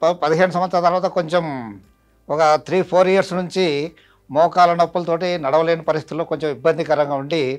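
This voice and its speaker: With music in the background, a man speaks at a high pitch with fairly even intonation. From Andhra Pradesh, Nandyala. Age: 70s. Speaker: retired headmaster, patient. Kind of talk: testimony. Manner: halting.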